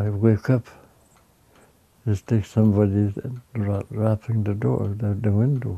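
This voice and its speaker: Dry and close with no echo, a man speaks fairly slowly in a dark, mellow, somewhat breathy voice of fairly low pitch, with ordinary pitch variation and long, frequent pauses. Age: old. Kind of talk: personal life story.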